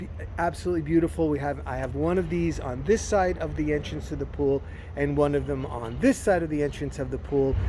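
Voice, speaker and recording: There is audible room echo as a man with an American accent talks at a fairly quick pace. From New Jersey. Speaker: gardening vlogger. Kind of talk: casual garden tour vlog. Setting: outdoors in garden. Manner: casual, halting with fillers.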